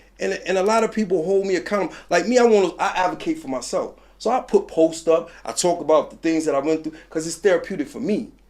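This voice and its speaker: A high-pitched man with a New York accent speaks very fast and with lively intonation, hardly pausing at all. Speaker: former prisoner, mentor and street advocate. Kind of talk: interview. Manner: animated; raised voice.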